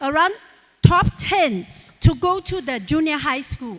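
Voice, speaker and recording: A woman with a Chinese accent speaks in a high voice with lively intonation. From rural China. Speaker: businesswoman and motivational speaker. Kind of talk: motivational speech.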